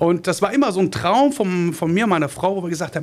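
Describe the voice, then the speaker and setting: The speaker is a man. His pitch is high. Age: 40s. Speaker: small business owner, trained industrial mechanic. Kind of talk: podcast interview. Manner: halting, many filler sounds.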